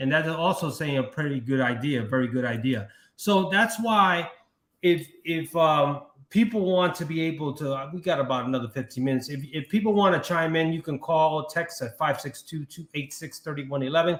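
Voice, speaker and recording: Speaking at a fairly quick pace, a man with an American accent has a fairly high pitch and ordinary pitch variation. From Brooklyn, New York. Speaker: livestream talk show host. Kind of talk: live talk show. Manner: halting.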